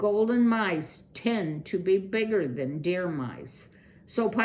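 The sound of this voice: An unforced reading voice carries the clip.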